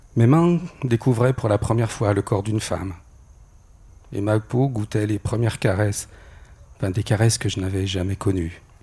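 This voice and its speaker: A man with a fairly low pitch and a dark, mellow, somewhat breathy tone speaks at a moderate pace with ordinary pitch variation and long, frequent pauses. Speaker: storyteller. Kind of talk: personal testimony.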